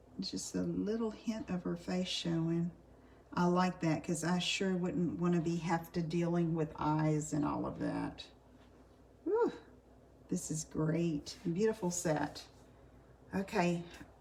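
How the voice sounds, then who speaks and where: Soft-spoken and fairly low in pitch, a woman talks at a very slow pace with long, frequent pauses and ordinary pitch variation against noticeable background noise. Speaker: card making demonstrator. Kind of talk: live craft tutorial. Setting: live stream. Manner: casual, chatty.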